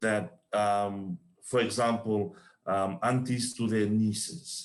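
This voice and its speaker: Very slow speech with ordinary pitch variation. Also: man, fairly low pitch for a man. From Fiji. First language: not English. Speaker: panelist on gender-based violence. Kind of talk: panel discussion. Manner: halting.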